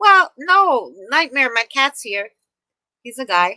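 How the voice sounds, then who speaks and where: A woman with a New York accent speaks in a raised, projected voice at a high pitch, her bright, sharp tone swinging very widely in pitch at a fairly slow pace, with a dry, close sound and no echo. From New York City, Queens. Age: 30s. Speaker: live streamer. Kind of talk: casual chat. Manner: animated.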